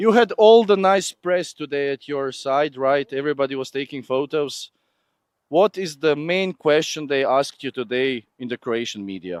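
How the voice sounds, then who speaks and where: A man with a non-native accent and a fairly high pitch talks at a moderate pace with lively intonation, the sound dry and close with no echo. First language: not English. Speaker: live event presenter. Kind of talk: live walkabout interviews at motorsport event. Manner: animated, playful.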